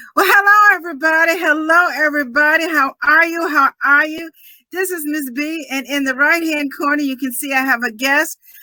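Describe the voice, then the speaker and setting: A woman's raised, projected voice, high-pitched with a bright, sharp tone, at a moderate pace. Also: ordinary pitch variation. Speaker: podcast network host. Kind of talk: live show interview. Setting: live video stream. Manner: loud.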